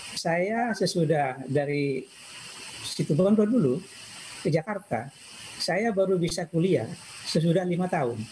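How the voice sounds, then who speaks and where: Speaking at a high pitch for a man, he uses lively intonation at a fairly slow pace with long, frequent pauses, over light background noise. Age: 60s. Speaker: information systems professor. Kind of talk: personal life talk. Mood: calm, reflective. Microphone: video call.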